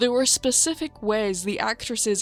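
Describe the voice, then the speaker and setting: A woman's voice with ordinary pitch variation, music in the background. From northern England. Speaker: video essayist. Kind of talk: video essay narration.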